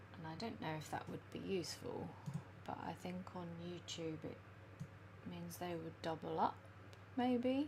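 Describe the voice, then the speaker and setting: Soft-spoken, fairly slow speech with long, frequent pauses and audible room echo. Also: woman. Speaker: illustrator and planner live streamer. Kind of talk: casual live stream chat. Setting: live stream at home. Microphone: too quiet, gain all the way up.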